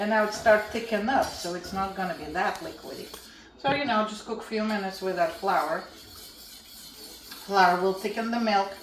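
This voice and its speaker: A woman speaks with ordinary pitch variation. Audible room echo and noticeable background noise surround her voice. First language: Russian. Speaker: home cooking channel host. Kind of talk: cooking tutorial.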